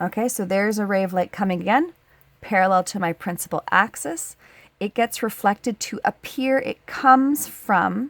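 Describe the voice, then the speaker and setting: The speaker has an ordinary speaking voice with ordinary pitch variation. The recording is very clean, with a silent background and a dry, close sound with no echo. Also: woman, medium pitch for a woman, moderate pace. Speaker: high school science teacher. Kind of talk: tutorial. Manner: casual, conversational.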